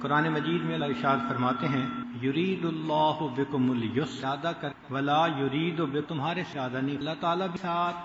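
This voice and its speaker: Behind him there is noticeable background noise. The man's pitch is fairly high. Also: ordinary pitch variation. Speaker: Islamic scholar, Sufi preacher. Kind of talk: religious lecture.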